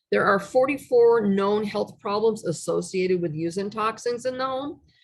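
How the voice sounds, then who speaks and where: With a plain, everyday voice, a woman speaks at a moderate pace, her pitch medium and its variation ordinary. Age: 60s. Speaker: essential oils class presenter. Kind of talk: online presentation with slides. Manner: casual, conversational with fillers.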